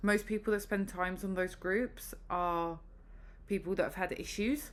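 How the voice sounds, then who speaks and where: At a moderate pace, a woman speaks with a British accent and fairly even intonation. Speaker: vlogger. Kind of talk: casual vlog update.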